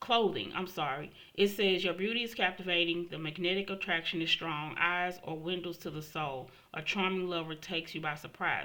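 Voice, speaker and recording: A bright, sharp tone at a fairly quick pace, with fairly even intonation. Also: woman, fairly low pitch for a woman. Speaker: tarot reader. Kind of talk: tarot reading monologue.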